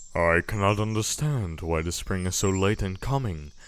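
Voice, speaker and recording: A man puts on a gruff character voice, very deep and low in pitch. He speaks at a moderate pace. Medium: read story.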